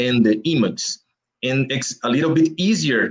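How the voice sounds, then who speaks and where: A man with a Brazilian Portuguese accent, at a moderate pace, with very wide pitch swings. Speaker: comic book artist. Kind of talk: interview. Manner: halting.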